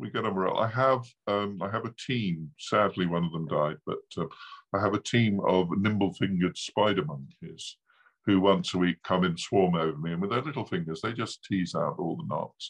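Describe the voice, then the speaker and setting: A man with an ordinary speaking voice, fairly low in pitch, with ordinary pitch variation, a moderate pace, and a quiet background. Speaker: author. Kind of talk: casual interview chat. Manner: humorous, chatty.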